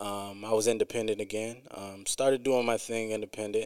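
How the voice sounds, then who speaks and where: A man's fairly low, monotone, flat delivery at a moderate pace, in an American accent. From US Midwest, Quad Cities (East Moline, Illinois). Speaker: rapper. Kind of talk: casual interview chat. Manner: frequent um and uh fillers.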